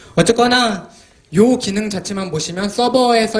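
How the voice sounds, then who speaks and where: A man talks over noticeable background noise. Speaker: software developer and tech book author. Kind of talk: technical conference talk. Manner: fast.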